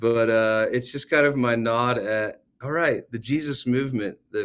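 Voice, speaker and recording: A man with a normal speaking voice, medium pitch and fairly even intonation. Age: 40s. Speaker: worship leader and songwriter. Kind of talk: casual chat.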